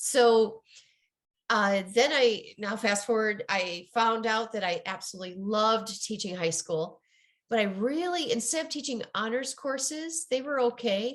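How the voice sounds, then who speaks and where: A woman with a Midwestern accent, fairly high in pitch, with lively intonation at a fairly slow pace. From US Midwest. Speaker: ADHD coach and author. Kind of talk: interview.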